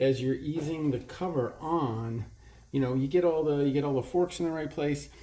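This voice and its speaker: Dark and mellow, a man's voice moves at a moderate pace. His intonation stays fairly even. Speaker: motorcycle hobbyist mechanic. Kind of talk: tutorial. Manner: hesitant, many fillers; mumbling at times.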